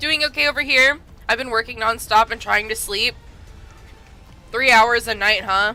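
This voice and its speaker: With music in the background, a woman speaks using ordinary pitch variation. Her delivery has long, frequent pauses. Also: moderate pace. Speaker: vtuber streamer. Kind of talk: casual live stream chat.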